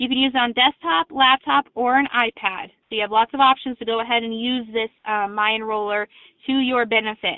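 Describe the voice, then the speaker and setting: A woman speaks at a fairly high pitch and a fairly quick pace. Her pitch variation is ordinary. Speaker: insurance company sales representative. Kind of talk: sales webinar presentation. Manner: fast.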